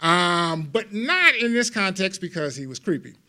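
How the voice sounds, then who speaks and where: A man with an American accent speaks in a raised, projected voice and an animated tone. His pitch is high, with ordinary pitch variation. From Los Angeles, US. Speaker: lawyer and legal humorist giving a CLE talk. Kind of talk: humorous continuing legal education talk.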